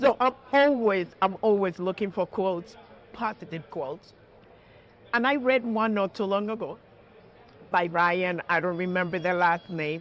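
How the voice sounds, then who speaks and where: Animated in tone and with a strong Puerto Rican accent, a woman speaks at a moderate pace and medium pitch with ordinary pitch variation and long, frequent pauses. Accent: heavy Puerto Rican Spanish. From Puerto Rico (south, near Ponce). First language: Spanish. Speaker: judge. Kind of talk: interview. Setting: stock exchange floor studio.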